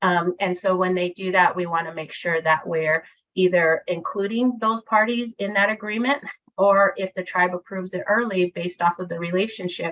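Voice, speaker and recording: Medium in pitch, a woman speaks with ordinary pitch variation. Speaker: presenter from a state early childhood agency. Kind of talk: webinar presentation. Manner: fast.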